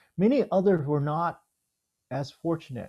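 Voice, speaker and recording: A man with an American accent has an unremarkable speaking voice. His pitch variation is ordinary and his pace is moderate. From Houston, Texas (born Vietnam). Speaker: theologian. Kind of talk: reading aloud.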